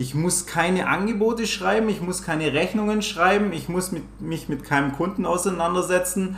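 Over noticeable background noise and audible room echo, a man talks at a moderate pace in a high voice with ordinary pitch variation and hardly any pauses. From Swabia, Germany. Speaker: trader and volunteer firefighter. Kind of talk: interview answers. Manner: trying to speak standard German.

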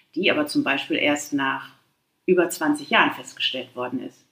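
A moderate pace marks this woman's speech. Her pitch rises and falls across a very wide range. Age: 50s. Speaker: patient with Crohn's disease. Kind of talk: casual interview.

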